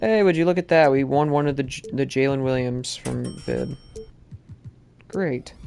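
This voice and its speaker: Noticeable background noise sits behind the voice. The pace is moderate, broken by long, frequent pauses. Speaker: gaming streamer. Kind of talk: live gameplay commentary. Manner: slurred speech; excited outbursts.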